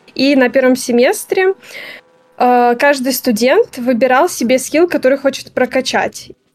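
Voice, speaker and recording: A woman's high-pitched voice at a fairly slow pace, with ordinary pitch variation. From Belarus. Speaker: game design graduate. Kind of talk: interview.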